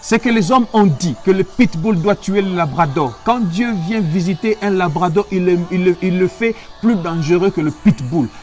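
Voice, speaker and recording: High-pitched male speech at a fairly slow pace, ordinary pitch variation, music playing in the background. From DR Congo, Kinshasa. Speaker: pastor and medical doctor. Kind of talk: sermon. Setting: online livestream. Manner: repetitive, emphatic.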